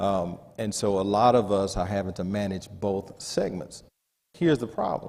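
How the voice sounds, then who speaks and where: A man speaks at a moderate pace in a normal speaking voice. His intonation stays fairly even. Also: fairly low pitch for a man. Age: 40s. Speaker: panelist. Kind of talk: panel discussion.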